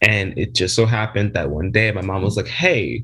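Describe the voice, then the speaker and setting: Vocal fry runs through this moderately paced delivery in an American accent, with ordinary pitch variation. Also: man. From South Jersey, US. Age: 20s. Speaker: pet play community member. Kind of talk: interview.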